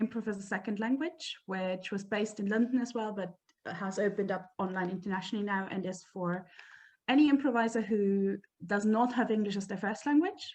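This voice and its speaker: A woman with a German accent, somewhat breathy, medium in pitch, at a fairly quick pace with ordinary pitch variation. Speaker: improv performer and teacher. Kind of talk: casual chat.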